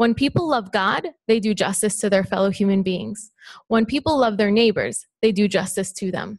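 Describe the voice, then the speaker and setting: In a quiet background, a somewhat breathy woman speaks at a moderate pace with ordinary pitch variation. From Palestine, Bethlehem; Palestine. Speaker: student; speaker. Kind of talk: prepared response. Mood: earnest, measured. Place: hall. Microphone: podium.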